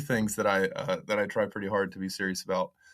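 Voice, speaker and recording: A man with a Southern accent talks at a very fast pace on a very clean recording with a silent background. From US South, Western North Carolina. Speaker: country musician and songwriter. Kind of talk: casual interview chat.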